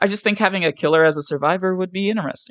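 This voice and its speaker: A very fast delivery with an American accent. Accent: West Virginian, comes out at times. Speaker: gaming YouTuber. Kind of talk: scripted commentary. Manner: reads from a script.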